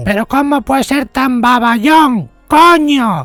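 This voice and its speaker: Shouting in a high-pitched, put-on character voice at a fairly slow pace, the speaker is heard over faint background music. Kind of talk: comedic parody dub. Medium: dub. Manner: angry, shouting.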